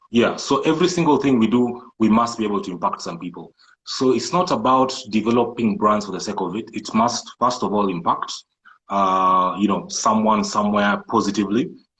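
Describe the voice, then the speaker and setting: A man speaks in a Kenyan coastal accent at medium pitch. His intonation is lively. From Kenya coast, Malindi. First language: Swahili. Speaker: entrepreneur and IT programmer. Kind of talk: interview. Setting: live social media video call.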